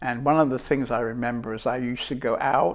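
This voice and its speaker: A man speaks with a British accent at a medium pitch. His intonation stays fairly even. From England. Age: 70s. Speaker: spiritual teacher. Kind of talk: life story interview. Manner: reflective, hesitant.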